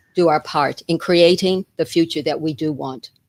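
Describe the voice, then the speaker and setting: A woman with an American accent talks in a plain, everyday voice at a fairly low pitch, with ordinary pitch variation. The very clean recording has a silent background and a dry, close sound with no echo. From United States. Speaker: retired teacher and wellness advocate. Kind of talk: interview.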